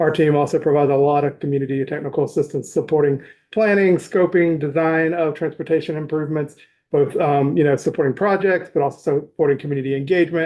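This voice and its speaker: A man talks at a fairly quick pace with a fairly high pitch. His intonation is monotone and flat. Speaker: nonprofit advocate testifying. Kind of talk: legislative committee testimony. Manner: fast.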